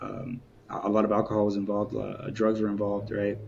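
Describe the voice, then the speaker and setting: This man's voice is fairly low. He speaks very fast. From Southern California, Inland Empire (Moreno Valley). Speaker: founder of a men's community, guest. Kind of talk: interview conversation. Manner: casual, many fillers.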